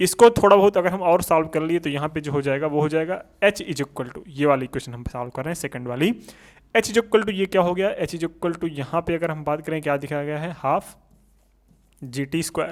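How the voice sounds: A man at a fairly high pitch, fairly quick in pace, with ordinary pitch variation.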